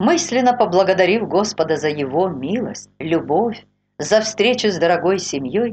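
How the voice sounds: A natural reading voice with lively intonation against a quiet background.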